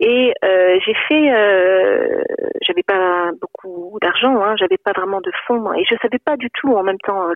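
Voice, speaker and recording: A woman talks in a fairly high voice. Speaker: psychologist and novelist. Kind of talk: interview. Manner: halting, many repetitions and hesitations.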